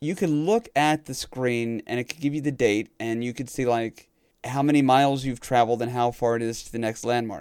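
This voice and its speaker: With an American accent, a man speaks at a moderate pace and medium pitch, his intonation fairly even and the sound dry and close with no echo. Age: 30s. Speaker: retro gaming podcaster. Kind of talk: casual chat.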